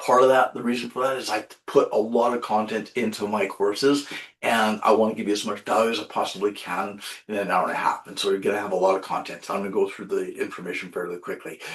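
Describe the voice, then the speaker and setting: Noticeable background noise fills the recording. A man talks at a very fast pace. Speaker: municipal education trainer, webinar presenter. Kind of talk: webinar presentation. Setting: online webinar.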